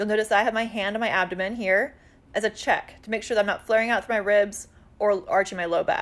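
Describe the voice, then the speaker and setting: A woman's fairly high voice, an unremarkable speaking voice, with fairly even intonation and a fairly quick pace in a very clean recording with a silent background. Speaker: fitness instructor. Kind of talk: tutorial. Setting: outdoors.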